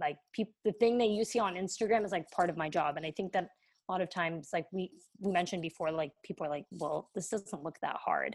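An unremarkable speaking voice from a woman with an American accent, fairly low in pitch, with ordinary pitch variation at a fairly quick pace. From US. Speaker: content creator and photographer. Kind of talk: casual interview chat.

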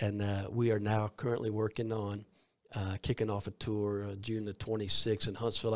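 The speaker uses a Southern US accent and a monotone, flat intonation at a fairly quick pace, on a very clean recording with a silent background. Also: man. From US South, Columbus, Georgia. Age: 50s. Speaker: evangelist. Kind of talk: interview. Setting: studio.

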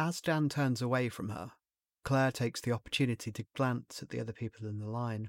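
An unremarkable speaking voice at a fairly quick pace with fairly even intonation, the sound dry and close with no echo. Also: man, medium pitch for a man, very clean recording, silent background. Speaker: narrator and creator of the short story. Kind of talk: horror audiobook narration, read aloud as a scripted short story.

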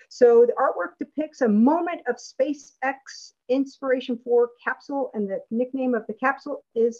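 Speaking fairly slowly, a woman with a high pitch and ordinary pitch variation sounds dry and close, with no echo. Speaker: event moderator and space artist. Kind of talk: moderating a virtual art exhibition. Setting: video call.

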